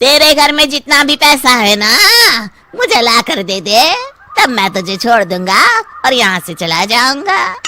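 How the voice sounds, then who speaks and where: A man's cartoonish character voice, extremely high in pitch, raised and projected, at a moderate pace. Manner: rough, rustic.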